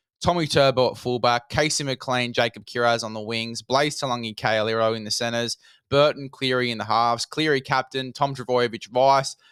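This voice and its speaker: A man speaks with an Australian accent. The recording is very clean, with a silent background and a dry, close sound with no echo. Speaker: fantasy rugby league podcast host. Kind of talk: solo podcast monologue. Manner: fast.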